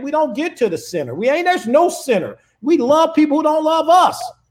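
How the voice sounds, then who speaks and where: An animated man with an American accent, a moderate pace and lively intonation, on a very clean recording with a silent background. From Chicago South Side. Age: old. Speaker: conservative political commentator. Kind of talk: heated debate.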